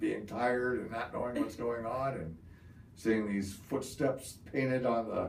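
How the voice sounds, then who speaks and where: Audible room echo around a man's fairly slow, medium-pitched speech with ordinary pitch variation. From Ohio, US Midwest. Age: 60s. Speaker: Vietnam war veteran. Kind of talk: oral history interview. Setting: interview in Parma, Ohio.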